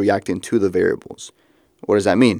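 A man talks at a fairly low pitch. The recording is very clean, and the background is silent. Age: 20s. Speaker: podcast host. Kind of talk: solo monologue. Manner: casual, reflective.

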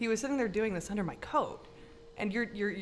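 This woman has an unremarkable speaking voice, pitched fairly high, with lively intonation. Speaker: podcast host and local artist. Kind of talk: casual chat.

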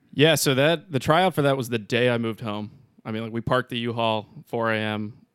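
Captured on a very clean recording with a silent background, a normal speaking voice moves at a fairly quick pace with ordinary pitch variation. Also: man, medium pitch for a man. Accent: American. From Pittsburgh, Pennsylvania. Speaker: wind tunnel instructor and skydiver. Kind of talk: casual interview chat.

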